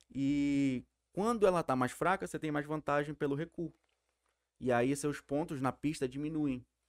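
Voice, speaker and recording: A plain, everyday voice from a man, fairly high-pitched, at a moderate pace with ordinary pitch variation, in a very clean recording with a silent background and a dry, close sound with no echo. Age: 20s. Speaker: sport shooter. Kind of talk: casual chat.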